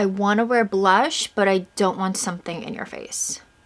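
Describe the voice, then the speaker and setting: This woman has an American accent. Her voice sits at a medium pitch. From Long Island, New York (East End). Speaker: beauty and lifestyle YouTuber. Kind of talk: casual chat while doing makeup. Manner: fast.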